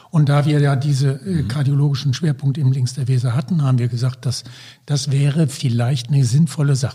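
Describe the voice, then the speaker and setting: A somewhat breathy man at a moderate pace. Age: 70s. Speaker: healthcare consultant, former anaesthetist. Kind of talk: podcast interview.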